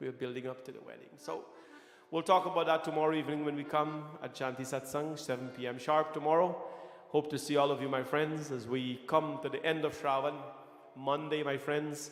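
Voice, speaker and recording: A man with a fairly high pitch is heard in a space with audible room echo. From Guyana. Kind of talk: sermon. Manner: animated, repetitive preaching style.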